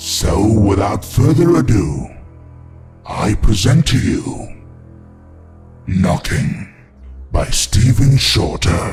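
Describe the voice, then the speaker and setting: Over clear background music, a man puts on a raspy character voice and speaks at a very slow pace. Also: fairly low pitch for a man. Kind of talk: horror host narration. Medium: audio drama. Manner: dramatic, gloating.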